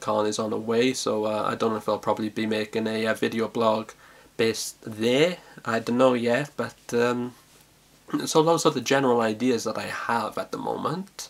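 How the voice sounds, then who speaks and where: The speaker is a man with a South Welsh accent. His intonation is fairly even. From South Wales. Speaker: vlogger. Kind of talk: casual vlog monologue. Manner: halting, many fillers and repetitions.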